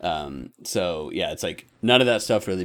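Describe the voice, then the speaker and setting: A man at a moderate pace, with vocal fry and very wide pitch swings. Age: 40s. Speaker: podcast host. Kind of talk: casual chat.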